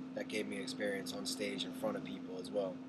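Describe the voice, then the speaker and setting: Room echo is audible, along with noticeable background noise. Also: man. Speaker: college student. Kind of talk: self-evaluation monologue. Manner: soft-spoken; animated.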